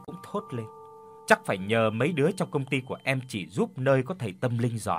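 In an unforced reading voice, the words carry lively intonation.

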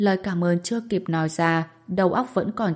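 Reading in an unforced reading voice

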